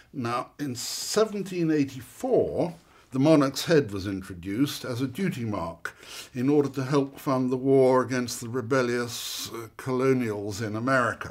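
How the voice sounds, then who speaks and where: With lively intonation and a medium pitch, a man speaks at a moderate pace in an unremarkable speaking voice. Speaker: silver antiques expert. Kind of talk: expert explaining hallmarks in a masterclass. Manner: wry, humorous, conversational.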